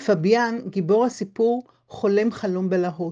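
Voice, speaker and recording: A woman with a dark, mellow tone speaks at a medium pitch and fairly slow pace, with ordinary pitch variation over a quiet background. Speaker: book blogger and reviewer. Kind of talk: scripted book review narration, read aloud. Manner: measured, formal, literary, steady.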